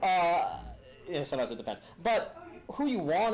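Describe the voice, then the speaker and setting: A man's pitch swings very widely as audible room echo follows his voice. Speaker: attorney and lecturer. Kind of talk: lecture. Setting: room with live audience, filmed. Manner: fast; animated.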